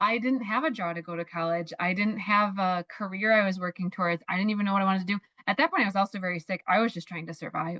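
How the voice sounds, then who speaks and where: A woman at a medium pitch talks very fast with hardly any pauses, her animated, bright and sharp tone showing ordinary pitch variation in a dry, close sound with no echo. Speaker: mindset coach. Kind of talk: interview.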